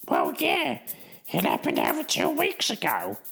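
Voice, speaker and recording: A man's put-on character voice, extremely high-pitched, squeaky and raspy, with music in the background. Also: moderate pace. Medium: solo performance. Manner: dry, deadpan.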